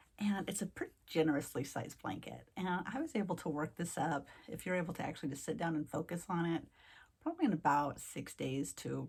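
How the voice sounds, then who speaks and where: A woman's fairly low-pitched voice with lively intonation and vocal fry. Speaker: craft youtuber. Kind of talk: casual vlog chat to viewers. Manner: fast.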